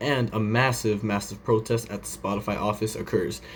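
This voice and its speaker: A man's somewhat breathy voice at medium pitch. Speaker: podcast host. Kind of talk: casual commentary show. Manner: fast.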